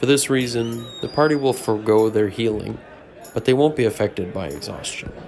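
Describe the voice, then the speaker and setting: A man at a medium pitch and fairly quick pace, ordinary pitch variation, with noticeable background noise. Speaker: storyteller and game master. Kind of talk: dramatic narration of a fantasy role-playing story, with character voices. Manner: sinister voices for villains.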